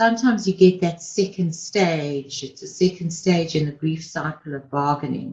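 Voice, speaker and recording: In an ordinary speaking voice with ordinary pitch variation, the speaker goes on with hardly any pauses. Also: woman, fairly low pitch for a woman, moderate pace, big swings in loudness. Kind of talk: pep talk. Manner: warm, encouraging, earnest; direct and reassuring, urging listeners on.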